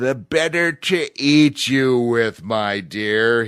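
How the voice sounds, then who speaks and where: A man bellows in a put-on character voice at a medium pitch. His pace is very slow. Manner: bellowing, menacing.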